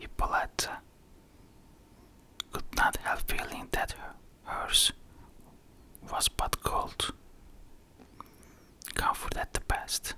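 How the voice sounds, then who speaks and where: Noticeable background noise surrounds a whisper that moves at a fairly slow pace. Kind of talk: ASMR whispered book reading. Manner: whispered.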